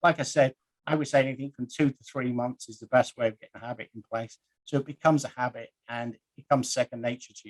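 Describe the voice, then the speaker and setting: Medium in pitch, a man speaks very fast with fairly even intonation and big swings in loudness, the sound dry and close with no echo. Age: 50s. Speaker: guest presenter. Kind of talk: presentation.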